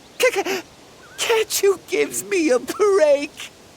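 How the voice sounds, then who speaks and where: A put-on character voice speaks at a very slow pace. Its pitch is extremely high. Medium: video game. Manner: excitable.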